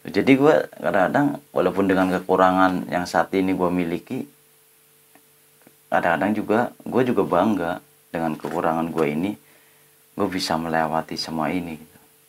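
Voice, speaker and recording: Very deep and low, a man's voice carries a strong Ngapak Javanese accent, big swings in loudness, and long, frequent pauses. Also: ordinary pitch variation, moderate pace. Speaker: adventure YouTuber. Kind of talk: casual vlog talk to camera. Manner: casual, colloquial.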